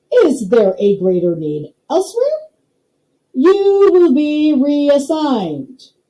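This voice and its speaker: In a put-on character voice, a woman speaks at a high pitch with very wide pitch swings and a very slow pace. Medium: read story. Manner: slow, pompous, clipped phrases.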